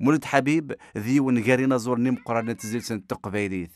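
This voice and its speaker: A man talks at a fairly quick pace, his pitch varying in an ordinary way, over a quiet background. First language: Kabyle (speaking Arabic). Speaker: news reporter. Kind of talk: news report.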